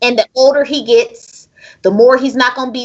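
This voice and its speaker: A loud, high-pitched woman's voice at a fairly quick pace, animated in tone. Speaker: podcast host. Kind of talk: casual chat.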